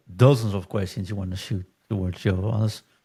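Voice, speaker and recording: This man speaks in a fairly low voice that is somewhat breathy. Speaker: football podcast host. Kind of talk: casual chat.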